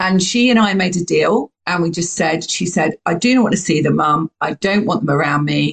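Somewhat breathy, a woman speaks with a British accent and ordinary pitch variation, the sound dry and close with no echo. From UK. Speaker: podcast host. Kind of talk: casual interview chat. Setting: recording from home by the sea.

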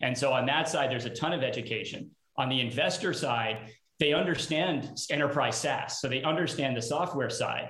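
A normal speaking voice moves at a fairly quick pace with ordinary pitch variation. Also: man, fairly high pitch for a man. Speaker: startup CEO and co-founder. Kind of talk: live panel discussion. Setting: video call.

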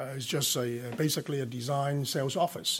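A man with a Hong Kong accent talks at a moderate pace in a very clean recording with a silent background. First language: Cantonese. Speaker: telecom company executive. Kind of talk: interview. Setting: studio.

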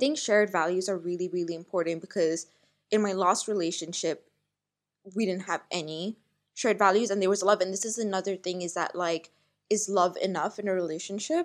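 Fairly even intonation accompanies speech delivered at a fairly quick pace. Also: woman, medium pitch for a woman. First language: Malayalam. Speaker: podcast host. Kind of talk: casual chat.

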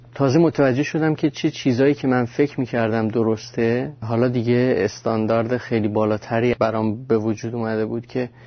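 A man keeps to a moderate pace. His pitch sits in the medium range. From Iran. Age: 20s. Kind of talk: testimony. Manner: casual, halting.

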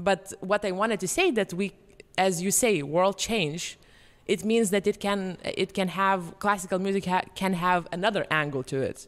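A woman talks at medium pitch with fairly even intonation, keeping a moderate pace. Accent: Lithuanian. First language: Lithuanian. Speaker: podcast host and pianist. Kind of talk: casual chat.

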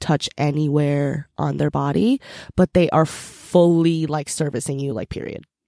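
Speaking at a moderate pace with an American accent, a woman has a very deep, low pitch and a dark, mellow tone, recorded dry and close with no echo against a silent background in a very clean recording. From US, raised partly in Korea. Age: 20s. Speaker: fashion stylist. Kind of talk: casual chat. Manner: animated.

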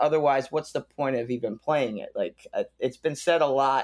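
This speaker talks at a moderate pace with an American accent, using an ordinary speaking voice. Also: man. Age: 30s. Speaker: punk rock musician. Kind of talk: casual interview.

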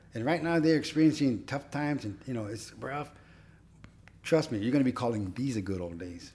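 A man speaks with an American accent at a fairly quick pace, his pitch medium and his intonation lively. His tone is dark and mellow. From Oxnard, California. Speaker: musician and longtime warehouse worker. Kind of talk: casual chat.

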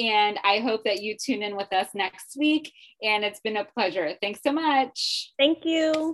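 This woman has a plain, everyday voice with a fairly high pitch. She speaks fairly slowly with lively intonation. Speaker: podcast host and life coach. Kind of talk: casual interview chat.

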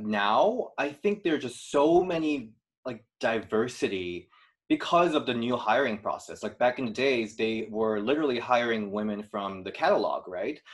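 With a Korean accent, a man speaks at a moderate pace and medium pitch, his intonation lively. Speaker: YouTube series creator and video producer.

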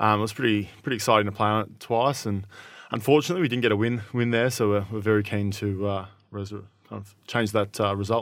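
This man talks at a very fast pace with an Australian accent and fairly low pitch. His intonation is fairly even, while his loudness swings widely. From country Victoria, Shepparton. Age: 20s. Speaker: Australian rules footballer. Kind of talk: casual interview.

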